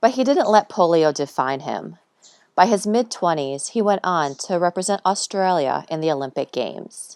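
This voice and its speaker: Recorded very cleanly over a silent background with a dry, close sound and no echo, a woman in a plain, everyday voice speaks at a moderate pace with a fairly low pitch and lively intonation. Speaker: podcast host. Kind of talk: podcast intro.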